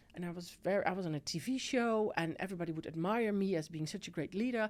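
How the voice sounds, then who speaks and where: In a Dutch accent, a woman talks at a very fast pace. Her pitch is medium. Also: ordinary pitch variation. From Netherlands. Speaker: tech executive. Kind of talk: podcast interview.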